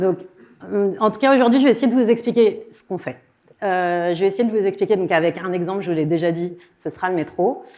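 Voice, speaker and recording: With a dark, mellow tone, a woman at medium pitch speaks at a fairly quick pace with ordinary pitch variation, broken by long, frequent pauses. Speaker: content designer giving a conference talk. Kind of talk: conference talk. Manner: fast.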